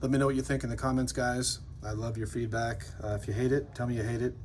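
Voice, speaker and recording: Very fast speech comes from a man with vocal fry. The room echo is audible. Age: 50s. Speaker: custom metal maker and channel host. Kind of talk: product showcase video. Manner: casual and enthusiastic.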